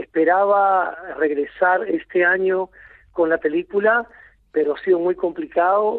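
A man speaks in a high voice at a fairly slow pace. His pitch moves up and down in an ordinary way. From Lima, Peru. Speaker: film director. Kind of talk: interview. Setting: phone call.

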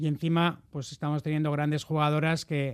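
A man talks at a fairly quick pace, his pitch fairly high. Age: 40s. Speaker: football club presidential candidate. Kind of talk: radio interview. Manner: halting.

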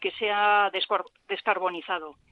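A woman with a medium pitch talks in a monotone, flat intonation. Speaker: environmental center technician. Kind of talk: radio interview.

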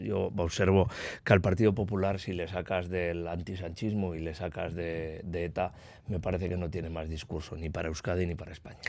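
A man with a very deep, low pitch talks at a fairly quick pace, his intonation fairly even. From Basque Country, Eibar. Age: 40s. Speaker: politician. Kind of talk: radio interview.

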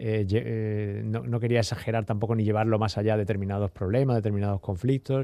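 A man talks at a fairly quick pace with a fairly low pitch and a dark, mellow tone. His intonation is monotone and flat, his loudness very even, against a quiet background. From Seville, Andalusia. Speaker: novelist. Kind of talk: interview. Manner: halting, repeats words.

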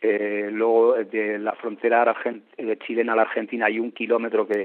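A man speaks at medium pitch and a moderate pace. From Basque Country, Tolosa. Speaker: traveler and reporter. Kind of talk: interview. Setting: phone call.

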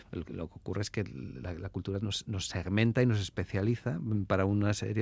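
This man speaks. His pitch is fairly low. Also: very clean recording, silent background. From Basque Country, Álava. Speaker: anthropologist and social worker. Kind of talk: radio interview. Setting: radio studio. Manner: halting, many repetitions.

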